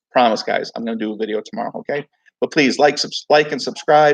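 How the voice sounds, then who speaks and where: A man talks loudly at a very fast pace. The sound is dry and close, with no echo. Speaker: crypto YouTuber. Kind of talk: casual livestream talk. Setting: at home.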